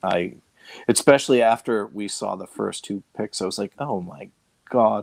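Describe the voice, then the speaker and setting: The man talks at a moderate pace. His pitch shows ordinary variation. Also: fairly low pitch for a man, big swings in loudness, dry, close sound with no echo. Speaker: fantasy football analyst. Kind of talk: casual chat. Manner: halting, many fillers and repeats.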